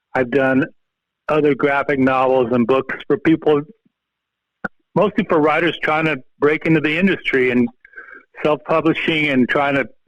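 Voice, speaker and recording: This man speaks at a moderate pace with fairly even intonation. His pitch is fairly high. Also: long, frequent pauses, very even loudness. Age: 60s. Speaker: comic book artist and biologist. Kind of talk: casual podcast interview. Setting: phone call.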